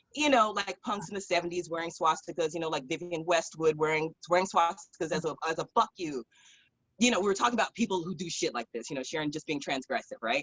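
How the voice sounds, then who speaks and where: With a Californian accent, a woman speaks at a very fast pace in a fairly low pitch. Her tone is animated and her intonation lively. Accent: Californian American English. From Southern California (San Fernando Valley). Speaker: drag performer and musician. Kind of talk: casual interview storytelling.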